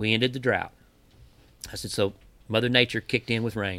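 A man with an American accent speaks at medium pitch with a bright, sharp tone. His intonation is monotone and flat. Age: 50s. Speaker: fishing guide. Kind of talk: casual chat.

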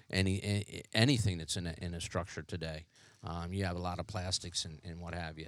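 In a very clean recording with a silent background, a man with a very deep, low pitch talks at a fairly quick pace with fairly even intonation. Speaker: firefighter. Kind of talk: interview. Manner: halting.

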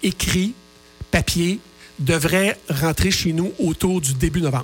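Over noticeable background noise, a man talks at a very slow pace with lively intonation. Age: 50s. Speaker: author and radio contributor. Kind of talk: radio interview.

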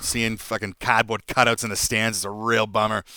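This man talks with a Boston accent at a medium pitch, and the sound is dry and close with no echo. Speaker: podcast guest; parent.

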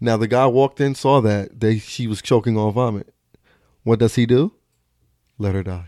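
The recording is very clean, with a silent background. A man speaks at a moderate pace in a medium pitch with a dark, mellow tone. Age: 20s. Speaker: social media comedian and content creator. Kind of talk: casual chat.

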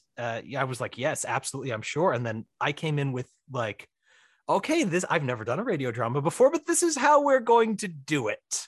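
A man with an American accent, somewhat breathy and making very wide pitch swings, talks at a moderate pace in a dry, close sound with no echo against a quiet background. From Missouri. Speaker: writer and director. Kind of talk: casual chat. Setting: home office in basement.

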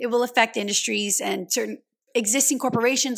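A woman with a high pitch and a Louisiana accent, an animated tone, ordinary pitch variation, and a very fast pace. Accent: Southern US (Louisiana). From US South, Louisiana. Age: 20s. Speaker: podcast host. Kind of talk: casual monologue.

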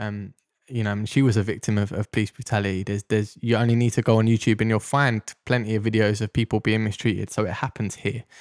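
A man's fairly low voice in a South London accent, very fast and monotone, flat, on a very clean recording with a silent background and a dry, close sound with no echo. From South London, Deptford. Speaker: ex-police officer. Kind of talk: interview testimony.

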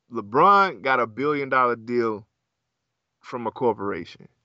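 Speaking in an American accent at a moderate pace, this unremarkable speaking voice carries lively intonation. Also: man. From US South. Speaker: podcast co-host. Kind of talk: casual chat.

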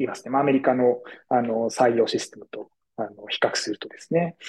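A plain, everyday voice, a man's at medium pitch with ordinary pitch variation, fairly quick in pace, in a dry, close sound with no echo. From Tokyo, Japan. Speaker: design futurist. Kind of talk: podcast interview. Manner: polite, formal.

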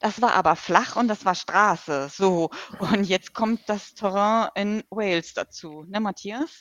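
With ordinary pitch variation, a woman talks at a very slow pace. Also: medium pitch for a woman. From Hamburg, northern Germany. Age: 40s. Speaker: ultrarunner. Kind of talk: interview. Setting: video call.

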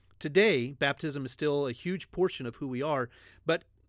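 A man with a normal speaking voice talks at a moderate pace on a very clean recording with a silent background. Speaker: pastor. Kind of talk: religious teaching podcast.

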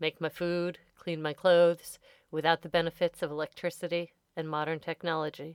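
On a very clean recording with a silent background and a dry, close sound with no echo, a woman with an American accent uses a normal speaking voice at a fairly low pitch and a moderate pace. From US (farm upbringing). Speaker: podcast host. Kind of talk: scripted narration.

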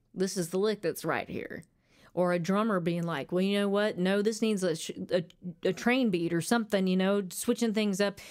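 With an Arkansas accent, a woman speaks at a medium pitch and with fairly even intonation. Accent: Southern US (Arkansas). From Arkansas, US. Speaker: country singer-songwriter. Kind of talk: casual interview chat. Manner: halting at times when nervous.

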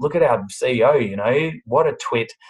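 Fairly slow delivery in an Australian accent. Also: man. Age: 40s. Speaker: bakery business CEO. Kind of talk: interview. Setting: video call.

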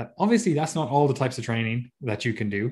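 This man has a medium-pitched, somewhat breathy voice with ordinary pitch variation. The background is quiet. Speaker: podcast co-host, fitness coach. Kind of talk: casual podcast discussion. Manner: fast talker.

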